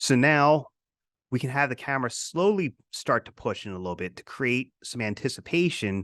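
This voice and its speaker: A man's medium-pitched voice with very wide swings in pitch, recorded dry and close with no echo, against a quiet background. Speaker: teacher. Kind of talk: lecture.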